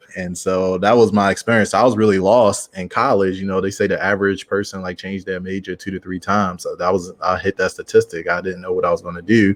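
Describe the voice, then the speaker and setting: A man with a Baltimore accent, fairly low pitch and monotone, flat intonation at a very fast pace, in a dry, close sound with no echo and a quiet background. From Baltimore, Maryland, US. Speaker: founder of a speakers network. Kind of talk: podcast interview.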